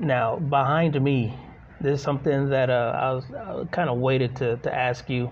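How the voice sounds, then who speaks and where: A man with a somewhat breathy voice at a medium pitch speaks at a moderate pace with fairly even intonation. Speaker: podcast co-host. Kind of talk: casual interview chat. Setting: on location in a shop.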